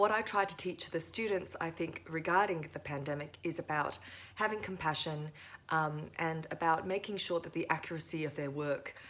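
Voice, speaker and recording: Her voice is fairly low for a woman, with fairly even intonation at a moderate pace. There is noticeable background noise behind this woman. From Thailand. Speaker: lawyer and lecturer. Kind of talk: interview.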